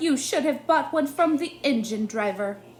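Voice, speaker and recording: A put-on character voice, high-pitched and growling. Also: moderate pace. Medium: read story. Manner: curt, officious.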